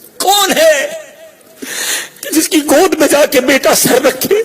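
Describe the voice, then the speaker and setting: Over noticeable background noise, a man speaks with an extremely high pitch and ordinary pitch variation. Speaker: Islamic preacher. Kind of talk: religious sermon. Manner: emotional, emphatic.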